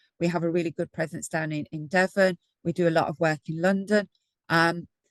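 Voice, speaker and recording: Talking at a fairly quick pace in a Brummie accent, a woman with a fairly low pitch keeps a monotone, flat intonation, the sound dry and close with no echo. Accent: Birmingham (Brummie). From Birmingham, English Midlands. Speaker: energy advice programme lead. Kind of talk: webinar presentation.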